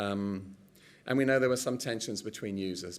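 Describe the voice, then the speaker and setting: A man's fairly low voice with an English accent, very fast pace, lively intonation and audible room echo. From England. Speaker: professor. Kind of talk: conference presentation.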